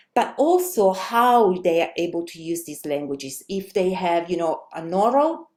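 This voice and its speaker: A woman with an Italian accent speaks at a moderate pace, her pitch swinging very widely. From Italy. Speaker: language teacher and researcher. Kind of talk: webinar presentation. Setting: online webinar. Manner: hesitant, many fillers.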